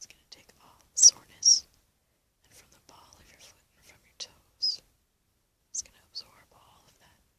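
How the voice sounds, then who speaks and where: Whispered speech from a woman. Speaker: ASMR artist, guided relaxation guide. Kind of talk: guided relaxation. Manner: soft-spoken, whispered, slow.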